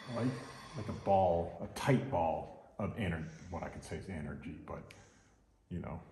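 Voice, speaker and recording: A man with a very deep, low pitch and a dark, mellow tone speaks at a moderate pace, somewhat breathy and with lively intonation. His loudness swings widely, long pauses come often, and room echo is audible. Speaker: massage therapist. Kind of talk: live demonstration with commentary. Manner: casual.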